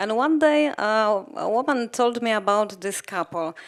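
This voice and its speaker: A woman speaks with a Polish accent at a fairly high pitch. The recording is very clean, with a silent background. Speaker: documentary film director. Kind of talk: post-screening Q&A interview. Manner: halting, many fillers.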